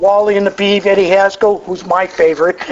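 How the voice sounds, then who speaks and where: Noticeable background noise runs under a man speaking with an American accent. His pitch is high and his pace is fairly quick. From Massachusetts. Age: 60s. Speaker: AA speaker. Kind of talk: recovery testimony talk. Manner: conversational with frequent stammered repetitions.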